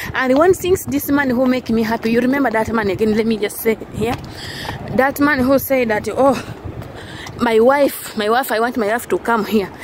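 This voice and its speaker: A woman talks at a moderate pace with a fairly high pitch. The sound is dry with no echo, though background noise is noticeable. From Uganda. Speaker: vlogger and housemaid; vlogger. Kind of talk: casual vlog monologue. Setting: outdoors walking in the street. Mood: happy, grateful. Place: street. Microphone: phone near.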